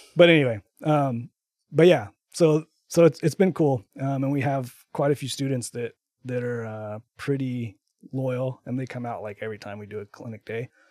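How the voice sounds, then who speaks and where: In an unremarkable speaking voice with an American accent, a man talks at a medium pitch and moderate pace, with ordinary pitch variation and big swings in loudness, on a very clean recording with a silent background and a dry, close sound with no echo. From Texas. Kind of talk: casual interview. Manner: many fillers, um and like.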